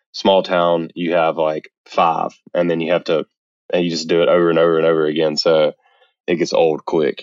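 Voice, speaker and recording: This man's voice is very deep and low. He talks at a moderate pace with a Southern US accent. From US South, Mississippi. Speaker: photographer. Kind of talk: interview.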